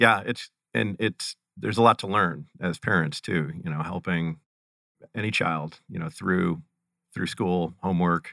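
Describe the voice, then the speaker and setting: A man's very deep, low voice, bright and sharp in tone, in an American accent at a fairly slow pace, dry and close with no echo. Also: very clean recording, silent background. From Ohio, Cleveland area. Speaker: gaming company founder. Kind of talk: interview. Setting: studio.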